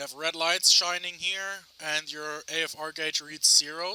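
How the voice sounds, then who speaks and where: Noticeable background noise sits under this recording. The man's fairly high voice keeps a fairly even intonation. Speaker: video game tutorial creator. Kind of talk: tutorial. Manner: halting; loud.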